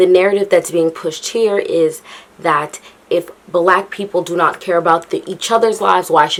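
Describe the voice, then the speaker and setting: There is noticeable background noise behind this woman. She speaks at a moderate pace with a fairly low pitch. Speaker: YouTuber. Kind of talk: casual vlog commentary.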